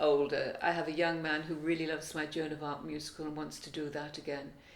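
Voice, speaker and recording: A woman with a very deep, low pitch talks at a very fast pace in a monotone, flat intonation, with noticeable background noise and audible room echo. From Wales. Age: 70s. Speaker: singer and songwriter. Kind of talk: interview.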